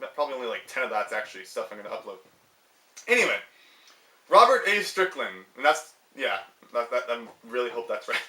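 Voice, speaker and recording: A man speaking at a very fast pace over noticeable background noise. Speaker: gaming youtuber. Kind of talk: casual tutorial vlog. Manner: loud; hesitant, many fillers.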